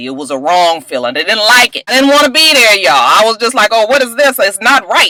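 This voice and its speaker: Music plays in the background while a woman speaks with an animated tone. Her pitch is fairly high and swings very widely. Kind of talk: casual, informal slang. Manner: animated, conversational.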